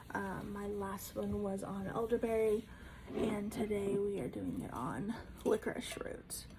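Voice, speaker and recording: A woman talks at a fairly slow pace. Background noise is noticeable. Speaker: herbalist and homesteader. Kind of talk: casual talk to camera. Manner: stuttering, fumbling over words.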